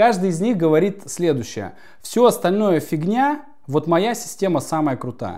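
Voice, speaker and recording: Against a quiet background, a man talks at a fairly slow pace in a high-pitched voice with a dark, mellow tone and very wide pitch swings. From Yakutia, Russian Far East. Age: 30s. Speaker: spiritual coach. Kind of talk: interview. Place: home room.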